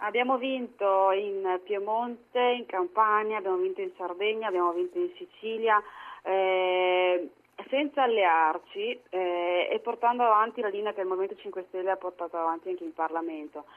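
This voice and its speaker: A woman speaks at medium pitch and a moderate pace. Hers is a normal speaking voice with ordinary pitch variation. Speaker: politician. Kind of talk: political interview.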